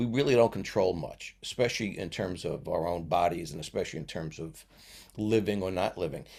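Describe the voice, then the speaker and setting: A man with a New York accent, very deep and low in pitch, at a fairly quick pace with ordinary pitch variation, on a very clean recording with a silent background. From New York (Brooklyn, Long Island). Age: 70s. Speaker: retired teacher. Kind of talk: casual interview chat. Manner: halting, many fillers and restarts.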